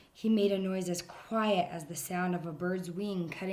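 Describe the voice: Someone reads aloud plainly, keeping the intonation fairly even.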